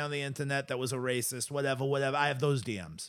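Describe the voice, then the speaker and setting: Using an ordinary speaking voice, a man with an American accent talks at a fairly quick pace and fairly high pitch for a man, on a very clean recording with a silent background. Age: 40s. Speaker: podcast co-host. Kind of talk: casual chat.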